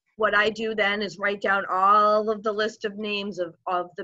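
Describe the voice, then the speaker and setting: A woman in a dry recording with no echo and a quiet background. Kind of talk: interview answer. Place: home room. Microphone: video call.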